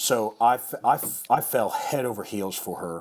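A man with an American accent and a plain, everyday voice speaks at a medium pitch with ordinary pitch variation. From US Midwest, rural western Missouri. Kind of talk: casual chat.

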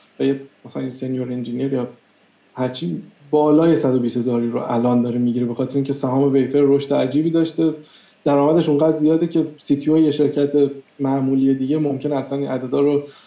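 A man talks very fast at a fairly high pitch, keeping his intonation fairly even. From Iran. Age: 30s. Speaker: software engineer. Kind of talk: interview.

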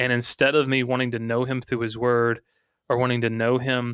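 Speaking with a Georgia accent at a moderate pace, a man has a medium pitch. The recording is very clean with a silent background, and the sound is dry and close with no echo. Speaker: podcast co-host.

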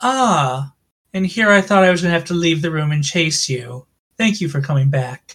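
At a moderate pace, the speaker performs a put-on character voice at a middle pitch. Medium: actual play. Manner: haughty, menacing.

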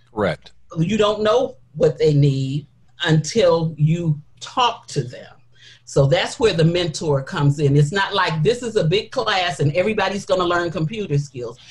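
A woman speaks at a fairly low pitch, somewhat breathy. Her intonation is lively and her pace fairly slow. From Detroit, Michigan. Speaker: women's ministry leader. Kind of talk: interview.

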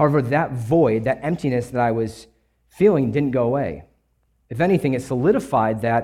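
A man's plain, everyday voice in an American accent, medium pitch with ordinary pitch variation and a fairly quick pace, on a very clean recording with a silent background. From US Midwest (Kenosha, Wisconsin). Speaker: church member sharing testimony and co-preaching. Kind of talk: testimony and sermon.

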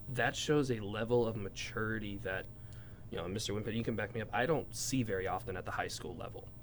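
A man's medium-pitched voice, very fast delivery, fairly even intonation, and noticeable room echo. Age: 20s. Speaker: high school teacher and podcast host. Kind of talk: casual interview.

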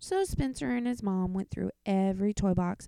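Natural-voiced reading aloud, pitch shifting in an ordinary way

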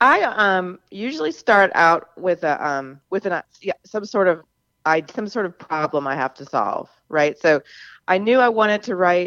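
A woman with an American accent speaks in a plain, everyday voice at a fairly slow pace. Her intonation is lively, and the sound is dry and close with no echo. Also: medium pitch for a woman. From US South, Charleston, South Carolina. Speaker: novelist. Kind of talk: radio interview.

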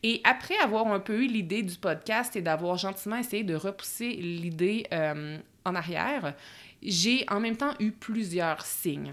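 On a very clean recording with a silent background, a woman with a Quebec accent speaks at a fairly slow pace and medium pitch, her intonation lively. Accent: Québécois French. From Quebec, Bois-Francs region. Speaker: podcast host, productivity coach. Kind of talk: solo podcast monologue. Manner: casual with filler words.

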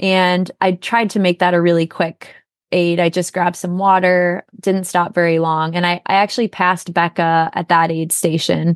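Recorded dry and close with no echo against a quiet background, a speaker with an American accent talks at a moderate pace in a flat monotone. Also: woman, fairly low pitch for a woman. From Minnesota. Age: 30s. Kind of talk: interview.

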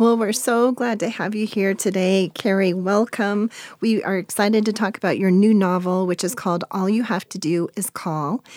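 A woman with an unremarkable speaking voice talks at a moderate pace and a medium pitch, with fairly even intonation and hardly any pauses. The recording is very clean, with a silent background. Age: 50s. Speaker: podcast co-host. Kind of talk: interview. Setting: studio.

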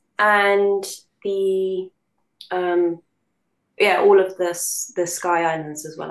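With a London accent, a woman speaks at a medium pitch in a flat monotone, pausing long and often while her loudness swings widely. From London, England. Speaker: voice actress. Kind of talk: casual interview chat.

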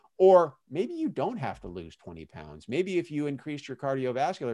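A man's fairly high voice with very wide pitch swings at a moderate pace, on a very clean recording with a silent background. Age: 50s. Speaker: retiree and personal trainer. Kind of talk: interview.

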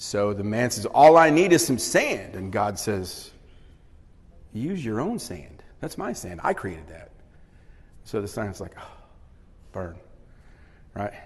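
A somewhat breathy man speaks at a fairly slow pace with long, frequent pauses, very wide pitch swings and big swings in loudness. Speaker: guest speaker leading a Bible study. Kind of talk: Bible teaching, interactive sermon. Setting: church room with audience, microphone.

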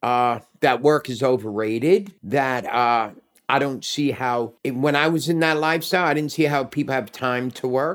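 A man with a New York accent speaks with ordinary pitch variation on a very clean recording with a silent background. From New York City, Manhattan. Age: 60s. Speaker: Uber driver. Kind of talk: casual chat.

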